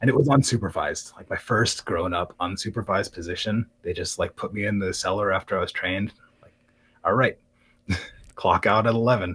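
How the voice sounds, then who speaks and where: A man talks at a fairly quick pace, his loudness swinging widely, in a very clean recording with a silent background. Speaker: live streamer and craftsman. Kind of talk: interview. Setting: live-streamed podcast. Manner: calm.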